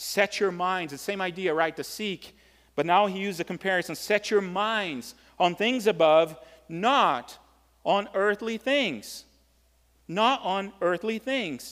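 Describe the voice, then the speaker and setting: With a Brazilian accent, a man speaks at a high pitch and a fairly slow pace, with ordinary pitch variation, on a very clean recording with a silent background. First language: Portuguese. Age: 40s. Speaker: pastor. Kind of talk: sermon. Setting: church. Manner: halting, with filler words.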